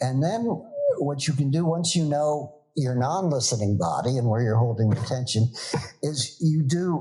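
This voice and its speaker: At a moderate pace, a man speaks with a fairly high pitch and a dark, mellow tone, somewhat breathy. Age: 70s. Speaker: organizational consultant and yoga teacher. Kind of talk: podcast interview.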